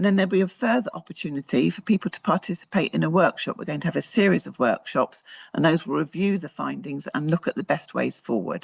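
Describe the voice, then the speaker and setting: Fairly quick speech in a British accent against a quiet background. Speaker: research presenter. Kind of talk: conference presentation. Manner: fast; hesitant, with fillers.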